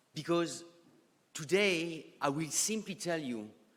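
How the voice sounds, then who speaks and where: With a strong French accent, a man speaks at a very slow pace. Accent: thick French. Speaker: economist and geopolitical strategist. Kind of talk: conference presentation. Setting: conference stage with audience.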